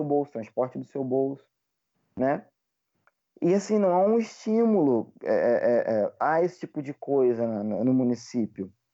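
A man speaks with a dark, mellow tone and very wide pitch swings. The background is quiet. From Rio de Janeiro state interior, Brazil. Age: 20s. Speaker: English teacher and history graduate. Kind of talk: casual interview.

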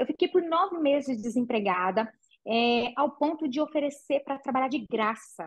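Moderate-paced, lively intonation from a woman with a high voice. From Brazil, interior of Minas Gerais (Patrocínio). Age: 40s. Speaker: entrepreneur, franchise founder. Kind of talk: interview.

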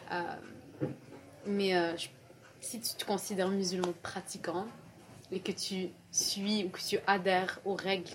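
A woman's medium-pitched voice at a fairly slow pace, with fairly even intonation amid noticeable background noise. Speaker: university student. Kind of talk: casual discussion.

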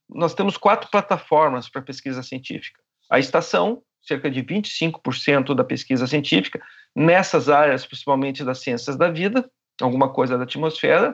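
Against a quiet background, a man with a fairly high pitch uses a plain, everyday voice, lively intonation and a moderate pace. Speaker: glaciology professor. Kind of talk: interview.

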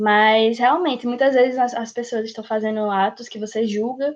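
An unremarkable speaking voice from a woman, fairly high-pitched, at a moderate pace with fairly even intonation. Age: 18. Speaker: pre-university student. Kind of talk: casual discussion podcast.

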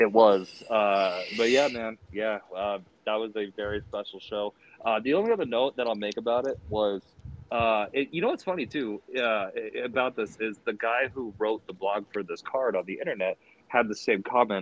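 A man with an American accent speaks at a moderate pace in a medium pitch with ordinary pitch variation. He has an ordinary speaking voice. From Springfield, Massachusetts. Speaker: wrestling fan podcast guest. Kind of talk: casual chat.

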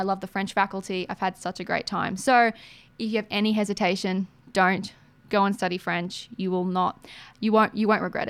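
Over a silent background on a very clean recording, a woman speaks at medium pitch and a moderate pace. Her intonation is flat and monotone. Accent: Australian. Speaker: radio host. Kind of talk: casual interview.

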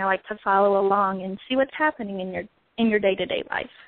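This woman talks at a very fast pace with an American accent. Her pitch varies in an ordinary way. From Southern Virginia. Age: 20s. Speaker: first grade teacher. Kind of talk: casual chat.

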